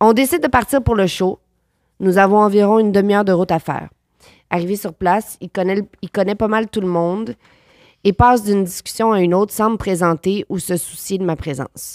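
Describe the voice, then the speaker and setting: A woman's medium-pitched voice with a Quebec accent, dry and close with no echo, on a very clean recording against a silent background. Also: ordinary pitch variation, fairly quick pace. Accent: Québécois French. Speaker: actress. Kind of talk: casual chat.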